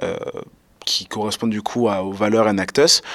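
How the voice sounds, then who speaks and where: Male speech at a medium pitch and a fairly quick pace. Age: 20s. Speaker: student association president. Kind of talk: interview. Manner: halting, many fillers.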